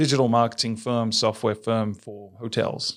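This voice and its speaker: An American accent marks this man's medium-pitched voice. The recording is very clean, with a silent background. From England. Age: 40s. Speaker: tourism marketing executive. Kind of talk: podcast interview.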